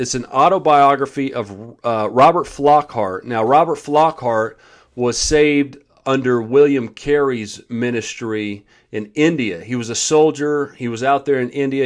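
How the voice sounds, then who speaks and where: An ordinary speaking voice with an American accent moves at a moderate pace with ordinary pitch variation. The background is quiet. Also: man. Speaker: street preacher. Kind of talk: casual talk to camera, book review.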